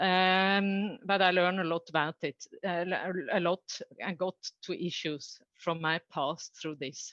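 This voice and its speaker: With a Norwegian accent, a woman speaks at a medium pitch in a bright, sharp tone, recorded dry and close with no echo. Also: quiet background. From Norway. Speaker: coach and trainer. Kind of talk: conference talk. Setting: online conference. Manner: halting.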